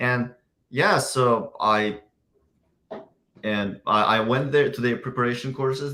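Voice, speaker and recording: A man talks with an Uzbek accent at a fairly slow pace. His tone is bright and sharp. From Uzbekistan. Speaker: software engineer. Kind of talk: interview. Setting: video call. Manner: halting.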